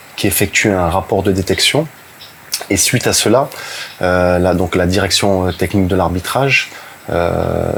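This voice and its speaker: A man talks at a fairly slow pace in a very deep, low pitch, with long, frequent pauses. His loudness stays very even, and noticeable background noise runs underneath. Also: ordinary pitch variation. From southern France (Brignoles, Var). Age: 30s. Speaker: football referee. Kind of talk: interview. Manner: hesitant, many fillers.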